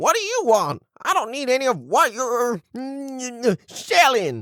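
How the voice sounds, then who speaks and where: A put-on character voice at a fairly high pitch moves along at a fairly slow pace. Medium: audio drama. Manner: grumpy, crotchety.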